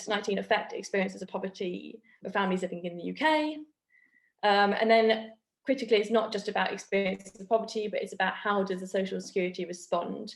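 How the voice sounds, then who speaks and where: A woman talks at a very fast pace with vocal fry at a medium pitch. Her loudness swings widely. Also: ordinary pitch variation. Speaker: academic researcher. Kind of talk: academic seminar presentation.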